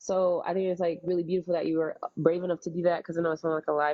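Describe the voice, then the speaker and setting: A woman talks in a normal speaking voice, fairly low in pitch, with fairly even intonation. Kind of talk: religious teaching, live-stream response to a viewer.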